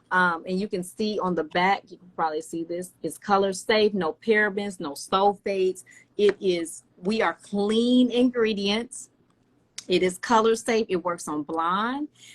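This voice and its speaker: Speaking fairly slowly in a Southern US accent, a woman at medium pitch shows ordinary pitch variation and big swings in loudness, in a dry, close sound with no echo. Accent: Southern twang. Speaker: hair care brand founder. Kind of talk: product promotion on livestream. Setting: live video stream.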